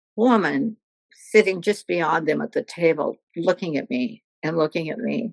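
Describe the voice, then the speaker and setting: A woman talks with vocal fry and lively intonation, in a dry, close recording with no echo. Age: 80s+. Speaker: retired volunteer and former drug educator. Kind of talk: casual chat.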